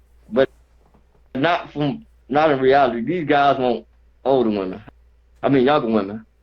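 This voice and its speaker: A man talks with a Southern US accent at a medium pitch and a moderate pace. His pitch varies normally, and he pauses often and at length. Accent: Southern country dialect. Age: 30s. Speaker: caller, warehouse worker. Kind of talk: call-in chat. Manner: halting.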